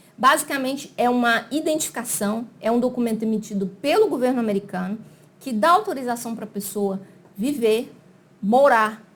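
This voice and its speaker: Here a woman speaks in a fairly high pitch at a moderate pace. Her pitch variation is ordinary. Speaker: immigration consultant. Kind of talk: explainer video. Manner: casual, conversational.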